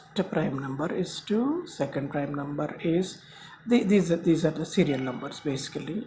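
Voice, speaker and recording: Audible room echo and noticeable background noise surround a man with a Telugu accent who speaks at a fairly slow pace in a high pitch. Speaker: YouTube channel host. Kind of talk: lecture. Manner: halting, many fillers.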